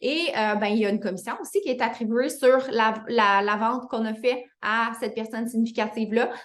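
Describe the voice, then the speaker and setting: A woman with a Quebec accent talks at a fairly quick pace with hardly any pauses. Her fairly high voice keeps a fairly even intonation. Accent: Québécois French. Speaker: fitness business coach. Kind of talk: online team training call. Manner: fast; hesitant with fillers.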